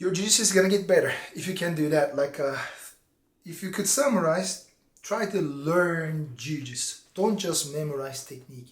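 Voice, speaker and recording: A man speaks at a high pitch with a non-native accent. Audible room echo surrounds his voice. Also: ordinary pitch variation, moderate pace. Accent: foreign. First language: not English. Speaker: BJJ instructor. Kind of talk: casual vlog talk to camera. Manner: animated; halting.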